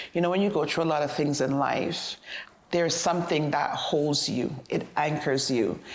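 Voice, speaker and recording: Amid audible room echo, a woman with a very deep, low pitch talks at a moderate pace, keeping her loudness very even and her pitch variation ordinary. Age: 50s. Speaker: interviewee on aging. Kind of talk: interview.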